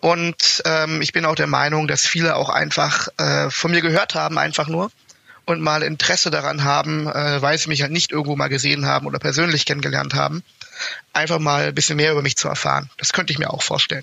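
A man at a fairly quick pace, against noticeable background noise. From Germany, Berlin. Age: 20s. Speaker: university student, fraternity member. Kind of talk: casual interview.

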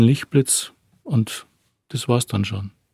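A man's medium-pitched, somewhat breathy voice with a dark, mellow tone, at a fairly slow pace, in a dry, close sound with no echo. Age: 50s. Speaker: attack survivor. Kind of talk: testimony. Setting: studio.

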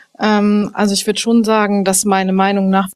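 This is a woman speaking. Her pitch is medium. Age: 20s. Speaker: newspaper editor. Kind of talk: casual chat.

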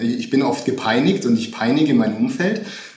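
Noticeable background noise and audible room echo around a man speaking with ordinary pitch variation. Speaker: management consultant. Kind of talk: interview. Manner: hesitant, many fillers.

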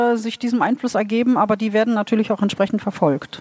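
Fairly high in pitch, a woman speaks with fairly even intonation. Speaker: literary translator. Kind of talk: live interpretation. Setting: stage with audience. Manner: halting.

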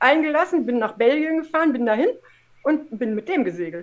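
Her pitch swings very widely. A woman talks at a moderate pace. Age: 50s. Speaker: former professional cyclist and adventurer. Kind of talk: casual interview chat.

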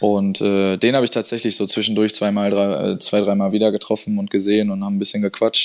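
A man talks at a fairly quick pace with a fairly low pitch and a flat, monotone delivery. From Dortmund area, Ruhr, western Germany. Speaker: footballer and entrepreneur. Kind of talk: interview.

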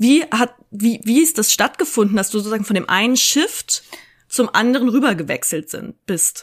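A woman's somewhat breathy, fairly high voice at a moderate pace. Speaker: podcast host. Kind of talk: casual chat. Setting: video call.

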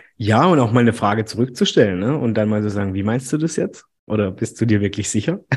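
Talking very fast with a slight Baden accent, a man keeps a medium pitch with ordinary variation. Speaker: podcast host. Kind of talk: casual interview. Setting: video call.

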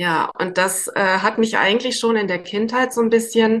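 A woman with a normal speaking voice talks at a moderate pace, her pitch fairly high and her intonation fairly even. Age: 50s. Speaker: psychotherapy practitioner. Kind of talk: interview.

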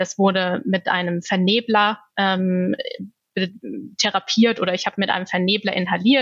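A woman with a medium pitch has a plain, everyday voice and fairly even intonation. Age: 30s. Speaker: asthma patient. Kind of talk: interview.

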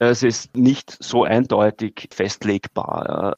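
A medium-pitched man with a Viennese accent, dry and close with no echo. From Austria, Vienna. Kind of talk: interview.

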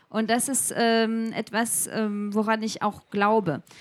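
This woman speaks at a fairly slow pace. Her voice sits fairly high in pitch. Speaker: edtech researcher and startup founder. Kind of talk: interview before a live audience. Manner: halting, many fillers.

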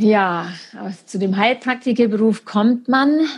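Her voice somewhat breathy, a woman speaks at a very slow pace with medium pitch and ordinary pitch variation. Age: 30s. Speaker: naturopath and amputee. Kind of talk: interview about her life story. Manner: halting with many fillers.

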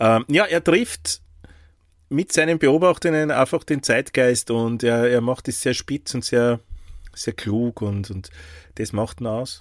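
Dry, close sound with no echo carries a man's voice at medium pitch. He speaks at a very slow pace with long, frequent pauses. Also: ordinary pitch variation, very clean recording, silent background. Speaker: podcast co-host. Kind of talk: casual chat.

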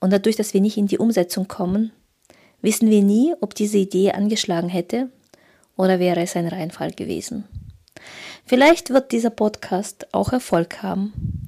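With a Russian accent, a woman speaks at a moderate pace and medium pitch in a dark, mellow tone, showing ordinary pitch variation and long, frequent pauses. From Kazakhstan. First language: Russian (speaking German). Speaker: photographer and business coach. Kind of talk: solo podcast monologue.

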